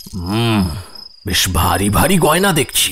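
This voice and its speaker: A man growls in a put-on character voice, fairly low in pitch with very wide pitch swings. Background noise is clearly heard. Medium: audio drama.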